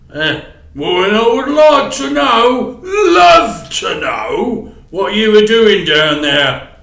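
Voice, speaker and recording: Putting on a character voice, a man speaks very slowly at a high pitch with very wide pitch swings, and a slight echo can be heard. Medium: read story. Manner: sniggering, gloating, pompous.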